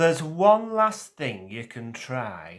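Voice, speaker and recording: A man puts on a rumbling character voice. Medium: read story. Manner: weary, grumbling.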